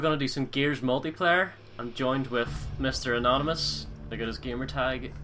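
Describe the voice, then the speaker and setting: A man speaks at a medium pitch and a fairly quick pace, with fairly even intonation and music playing in the background. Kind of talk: casual gaming commentary.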